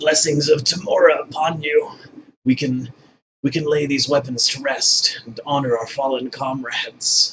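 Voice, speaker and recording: A put-on character voice from a man, pitched fairly high, delivered at moderate speed. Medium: actual play. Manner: formal, earnest.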